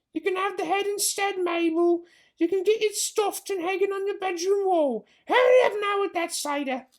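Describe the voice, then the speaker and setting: A man's squeaky, put-on character voice at an extremely high pitch and a moderate pace. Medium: read story.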